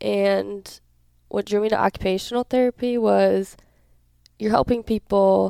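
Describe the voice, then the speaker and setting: A woman talks with an Upper Midwest accent. Her moderate pace comes through in a dry, close sound with no echo. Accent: Upper Midwest (Minnesota). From southern Minnesota (Hayfield, near Rochester). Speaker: college volleyball player. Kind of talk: interview.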